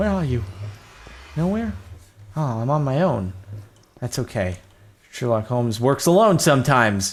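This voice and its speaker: A somewhat breathy man with an American accent speaks at a medium pitch with very wide pitch swings. He keeps a moderate pace and takes long, frequent pauses. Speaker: gaming YouTuber. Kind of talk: Minecraft let's play commentary. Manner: casual, animated.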